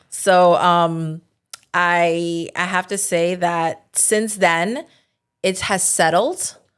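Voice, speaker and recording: A woman with a New Jersey accent speaks at a very slow pace and a fairly low pitch. Her intonation is fairly even, on a very clean recording with a silent background. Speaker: title agency owner. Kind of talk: podcast interview.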